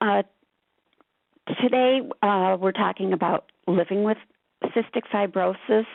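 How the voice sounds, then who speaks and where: At a moderate pace, a woman speaks at a medium pitch. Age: 60s. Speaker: patient advocate. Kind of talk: webinar presentation.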